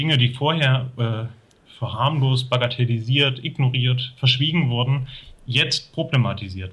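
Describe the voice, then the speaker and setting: In a normal speaking voice, a man talks at a fairly slow pace and medium pitch, with ordinary pitch variation and big swings in loudness. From Thuringia, eastern Germany. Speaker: sociologist. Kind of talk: interview.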